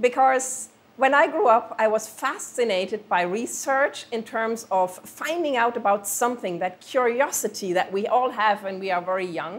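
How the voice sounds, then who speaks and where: With a German accent, a woman talks with lively intonation and hardly any pauses. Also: fairly high pitch for a woman, moderate pace. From Germany. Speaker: planetary scientist. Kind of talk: interview.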